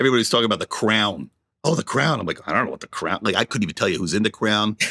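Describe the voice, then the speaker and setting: A man's fairly low voice, very fast, with vocal fry, lively intonation, and a bright, sharp tone in a dry, close sound with no echo. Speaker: podcast co-host. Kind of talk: casual chat. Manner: stammering.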